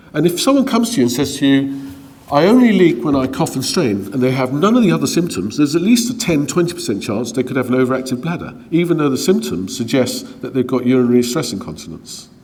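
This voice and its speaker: A medium-pitched man at a fairly quick pace, with very wide pitch swings and audible room echo. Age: 60s. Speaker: gynaecologist. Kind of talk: lecture. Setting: conference talk with slides.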